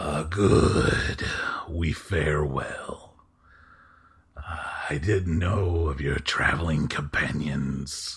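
A man does a put-on character voice, very deep and low, speaking very slowly with fairly even intonation. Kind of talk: formal, archaic. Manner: deferential.

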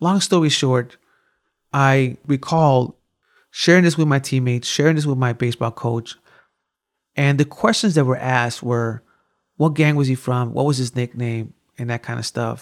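A man with a Chicago accent speaks with ordinary pitch variation and long, frequent pauses. The recording is very clean, with a silent background and dry, close sound with no echo. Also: medium pitch for a man, moderate pace. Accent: Chicago American English. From US Midwest, west side of Chicago. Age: 40s. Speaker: violence prevention program director. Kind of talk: interview conversation.

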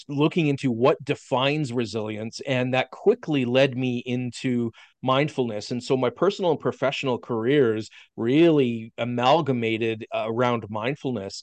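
A man speaks at medium pitch and a moderate pace with a Canadian Prairie accent and ordinary pitch variation. The sound is dry and close with no echo, over a quiet background. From Saskatchewan, Canada. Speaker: physical therapist and professor. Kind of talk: casual interview.

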